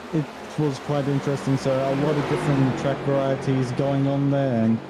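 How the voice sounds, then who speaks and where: Medium-pitched man in an Australian accent, with noticeable background noise. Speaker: sim racing commentator. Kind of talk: live commentary.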